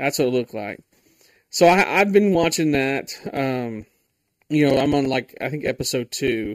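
On a very clean recording with a silent background, a man with an ordinary speaking voice and fairly high pitch talks at a moderate pace. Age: 20s. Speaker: podcast host. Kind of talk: casual solo podcast monologue. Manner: casual, filler-heavy.

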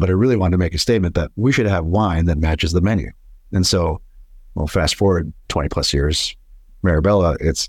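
A somewhat breathy male voice at a fairly quick pace, with ordinary pitch variation. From Boston, Massachusetts (born in Italy). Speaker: restaurant owner. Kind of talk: interview conversation.

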